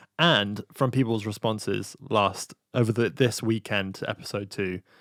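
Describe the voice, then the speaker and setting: On a very clean recording with a silent background and a dry, close sound with no echo, a man in an unremarkable speaking voice talks at a moderate pace with fairly low pitch and fairly even intonation. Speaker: podcast host.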